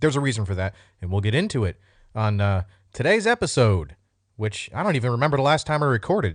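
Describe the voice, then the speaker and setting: Against a quiet background, a man speaks at a fairly quick pace. His pitch swings very widely. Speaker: military veteran podcast host. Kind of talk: casual monologue podcast. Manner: casual, off the cuff. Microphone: new high-end podcast microphone.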